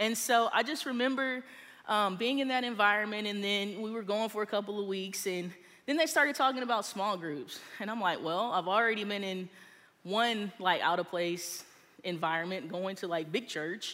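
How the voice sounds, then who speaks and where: A woman speaks with an American accent, at a medium pitch and a moderate pace. Her tone is bright and sharp, with ordinary pitch variation and audible room echo. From Texas. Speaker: small group leader. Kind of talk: sermon. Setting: stage with audience.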